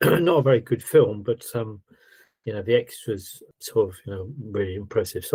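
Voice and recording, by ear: Using a put-on character voice, a man speaks at a moderate pace in a hoarse, medium-pitched tone, with big swings in loudness.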